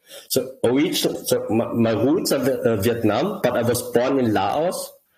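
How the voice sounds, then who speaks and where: A man with a German accent and very even loudness. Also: moderate pace. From southern Germany, grew up there from childhood. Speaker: crypto project founder. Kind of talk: interview. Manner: halting, many repetitions.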